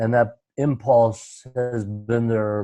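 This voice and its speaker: A man speaks very slowly at medium pitch with fairly even intonation. His tone is dark and mellow. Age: 70s. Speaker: retreat leader on conscious community. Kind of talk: self-introduction on group call. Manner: halting, many fillers.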